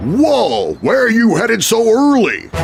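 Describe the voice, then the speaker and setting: A man puts on a character voice with an extremely high pitch. He speaks at a fairly slow pace over clear music in the background. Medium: read story. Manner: folksy, jovial.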